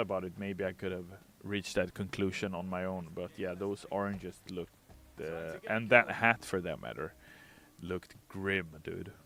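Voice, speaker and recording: Over music in the background, a man with a fairly low voice talks with a non-native accent. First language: not English. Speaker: game community manager streaming gameplay. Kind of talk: casual livestream chat answering viewer questions. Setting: livestream with green screen.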